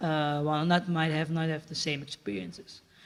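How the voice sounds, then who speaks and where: Speaking at a moderate pace, a man with an unremarkable speaking voice keeps a fairly high pitch and fairly even intonation. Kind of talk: panel discussion.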